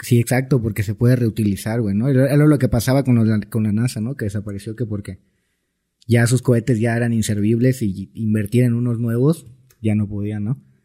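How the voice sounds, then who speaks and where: A man's medium-pitched voice, dark and mellow in tone, with fairly even intonation and a fairly quick pace, on a very clean recording against a silent background. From Mexico, Cancún (Quintana Roo). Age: 20s. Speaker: music producer. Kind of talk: casual chat.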